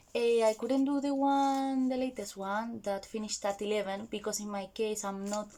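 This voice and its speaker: A woman with a Spanish accent speaks with ordinary pitch variation. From Spain. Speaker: vlogger. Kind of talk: casual vlog talk. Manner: animated.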